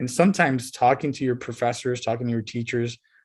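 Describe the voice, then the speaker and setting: A man with a Spanish accent speaks at a fairly quick pace on a very clean recording with a silent background. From Southern California (Montebello, Los Angeles area). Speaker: college professor and marine biologist. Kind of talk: guest talk to high school students, interview. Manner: casual, with many fillers and repetitions.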